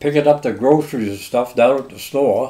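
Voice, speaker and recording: A medium-pitched man's voice in a Maine accent, dark and mellow in tone. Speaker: longtime local resident. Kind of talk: oral history interview. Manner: casual.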